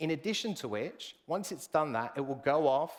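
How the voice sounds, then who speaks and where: Lively intonation and a British accent come through at a moderate pace in a very clean recording with a silent background. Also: man. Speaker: software solutions consultant. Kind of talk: live product demo presentation.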